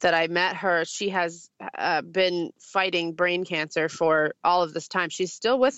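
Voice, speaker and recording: A woman with an American accent has a normal speaking voice at a fairly low pitch. Her intonation stays fairly even over a quiet background. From US, Syrian American family. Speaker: singer-songwriter. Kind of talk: interview. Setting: video call from her car. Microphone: phone via Skype.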